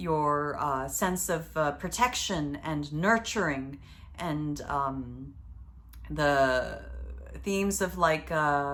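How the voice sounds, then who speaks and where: Audible room echo fills the space around a woman with a very deep, low pitch. She speaks very slowly, her intonation lively. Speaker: astrologer. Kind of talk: astrology video monologue. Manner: hesitant, many fillers.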